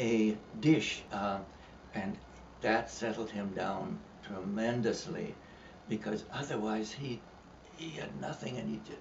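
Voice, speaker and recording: Against noticeable background noise, a man at medium pitch speaks very slowly with lively intonation. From Canada. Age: 80s+. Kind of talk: interview answer.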